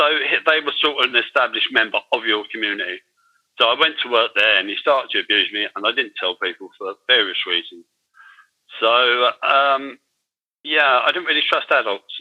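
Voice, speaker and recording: A man with a London accent at a moderate pace. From London, England (Irish-born). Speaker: former offender turned digital artist. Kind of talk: interview testimony. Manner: halting, with many fillers and repetitions.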